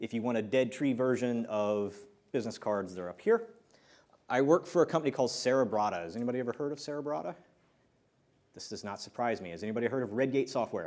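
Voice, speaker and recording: At a very fast pace, a man with an American accent speaks at a medium pitch with ordinary pitch variation and big swings in loudness. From US Midwest. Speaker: software developer speaker. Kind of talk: conference talk. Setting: stage with audience.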